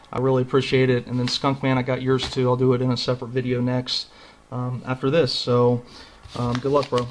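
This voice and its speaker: Over noticeable background noise, a man speaks at a fairly quick pace and medium pitch with monotone, flat intonation. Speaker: trading card collector. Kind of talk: casual video. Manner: casual, conversational, filler-heavy.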